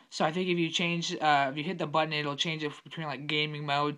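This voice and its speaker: A man's fairly high, bright, sharp voice at a fairly quick pace. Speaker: tech product reviewer. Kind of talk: unboxing video. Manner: casual, hesitant with fillers.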